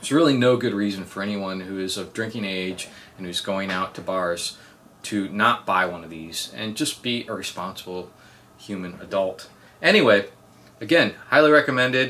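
A man with a bright, sharp tone and fairly low pitch talks at a moderate pace with ordinary pitch variation and big swings in loudness over light background noise. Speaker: product reviewer. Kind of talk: casual review talk. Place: home room.

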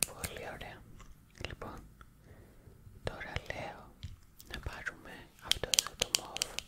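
A woman whispering at a very slow pace, with long, frequent pauses and big swings in loudness. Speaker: ASMR roleplay host as best friend. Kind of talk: ASMR roleplay, friend showing stationery; whispered roleplay talk. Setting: ASMR mic, close-up personal attention. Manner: soft, whispering.

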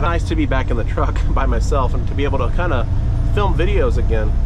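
At a fairly quick pace, a man talks over loud background noise, though the sound itself is dry with no echo. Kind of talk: casual vlog chat. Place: car. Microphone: camera far.

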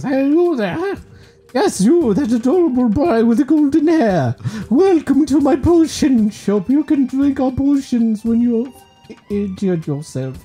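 In a put-on character voice with an extremely high pitch, a man speaks at a moderate pace while faint music plays in the background. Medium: solo performance. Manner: bubbly, sales-pitch friendly.

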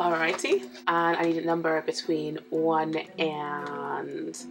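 A woman puts on a raspy character voice with a very deep, low pitch. She goes at a fairly slow pace over clear background noise. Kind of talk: casual chat on a call. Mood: cheerful, light.

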